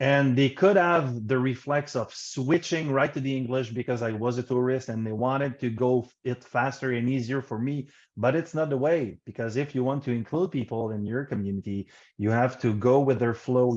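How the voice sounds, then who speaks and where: A man with a Quebec accent speaks at a moderate pace and medium pitch, with ordinary pitch variation. He hardly pauses, and the background is quiet. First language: French. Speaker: program manager panelist. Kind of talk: virtual panel discussion. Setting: video conference.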